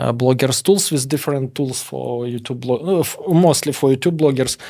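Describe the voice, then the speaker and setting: A man speaks at a medium pitch with a strong Russian accent and a dark, mellow tone. His intonation is fairly even, and the recording is very clean with a silent background. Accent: heavy Russian. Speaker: former hacker turned entrepreneur. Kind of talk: interview. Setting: studio. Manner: halting.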